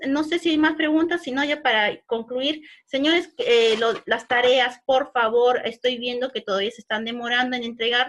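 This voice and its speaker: A woman's high-pitched voice with ordinary pitch variation, in a very clean recording over a silent background. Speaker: online course instructor. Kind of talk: virtual class lecture. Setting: virtual class. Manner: fast.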